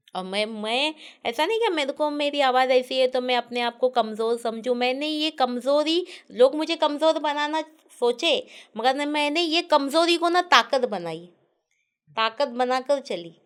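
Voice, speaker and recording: Her voice sits high in pitch. The recording is very clean, and the background is silent. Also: lively intonation, fairly slow pace. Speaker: food video creator. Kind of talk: interview.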